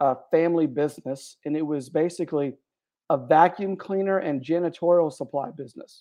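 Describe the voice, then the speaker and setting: Speaking at a moderate pace with an American accent, the man has a fairly high pitch and an unremarkable speaking voice. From Texas, Houston area. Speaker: author and men's mentor. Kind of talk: interview.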